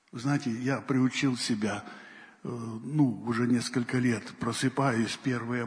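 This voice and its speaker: Through noticeable background noise, a man with a medium pitch speaks at a very slow pace in a monotone, flat intonation. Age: old. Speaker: pastor. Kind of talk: sermon.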